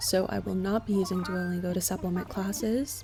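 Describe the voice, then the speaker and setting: A woman at a fairly quick pace, with music in the background. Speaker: gaming vlogger. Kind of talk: personal vlog.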